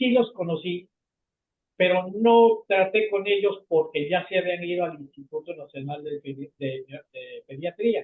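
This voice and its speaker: Speaking at a fairly slow pace, a man with a high voice shows big swings in loudness. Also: ordinary pitch variation. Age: 70s. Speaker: retired pediatrician. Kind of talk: video conference conversation. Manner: halting.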